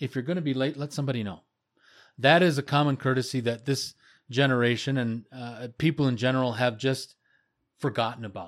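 This man has an ordinary speaking voice at medium pitch, with ordinary pitch variation and a fairly quick pace, on a very clean recording with a silent background. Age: 50s. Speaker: podcast host. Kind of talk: casual chat.

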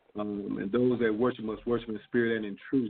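A man speaks with an ordinary speaking voice at a medium pitch. His intonation stays fairly even. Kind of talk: bible study discussion.

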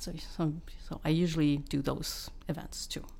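A woman's voice with audible room echo. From Quebec, Laurentians (Val-David). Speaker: sound engineer. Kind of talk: interview.

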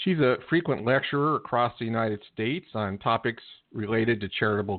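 Fairly quick and fairly low-pitched, a man talks in a normal speaking voice. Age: 60s. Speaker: book publisher. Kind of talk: guest introduction.

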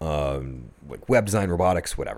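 On a very clean recording with a silent background, a man with an American accent speaks in a very deep, low voice with a dark, mellow tone. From Buffalo, New York. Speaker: teacher and business owner. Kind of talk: casual chat. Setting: studio.

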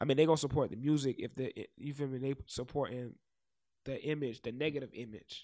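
With an American accent, a man speaks at a medium pitch in a dark, mellow tone, keeping a fairly even intonation. His pace is fairly quick despite long, frequent pauses, and the recording is very clean with a silent background. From South Florida, Fort Lauderdale (Broward). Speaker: rapper. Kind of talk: casual interview chat. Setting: studio.

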